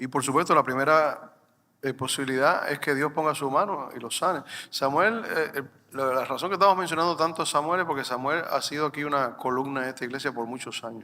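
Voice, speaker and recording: A man talks at a fairly quick pace in a normal speaking voice, with fairly high pitch and ordinary pitch variation. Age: 60s. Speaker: pastor. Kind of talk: sermon.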